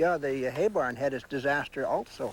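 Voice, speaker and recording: At a moderate pace, a man with fairly high pitch speaks with ordinary pitch variation. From British Columbia, Canada. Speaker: homesteader's son. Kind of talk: interview. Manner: halting.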